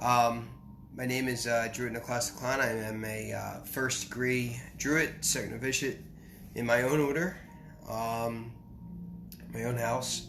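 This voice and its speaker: Long, frequent pauses mark a man's fairly slow, monotone delivery at medium pitch, with audible room echo. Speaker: spiritual teacher. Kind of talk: lecture. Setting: live stream. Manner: halting.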